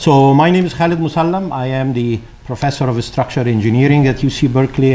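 Light background noise sits behind the man who is talking. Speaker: conference host. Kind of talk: opening welcome speech. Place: hall. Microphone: podium.

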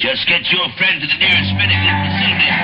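Music plays in the background as a man speaks in an energetic tone. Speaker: radio disc jockey. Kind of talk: military radio public service announcement read. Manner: fast, hip, energetic. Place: studio.

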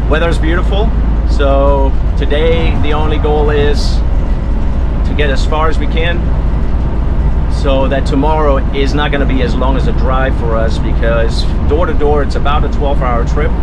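A man at a moderate pace with long, frequent pauses, over loud background noise. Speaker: RV vlogger driving. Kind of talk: casual vlog chat. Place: car. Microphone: phone near.

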